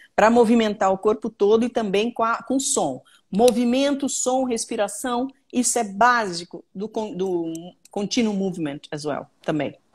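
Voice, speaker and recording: Somewhat breathy and fairly high-pitched, a woman talks at a fairly slow pace with lively intonation. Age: 60s. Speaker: trauma therapist. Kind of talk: live Q&A stream. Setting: live video stream.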